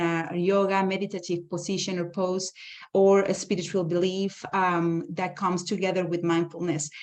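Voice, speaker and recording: Over a quiet background, a woman speaks at medium pitch. Her pace is moderate. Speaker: conference speaker on education. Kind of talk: conference presentation. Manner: halting, many fillers.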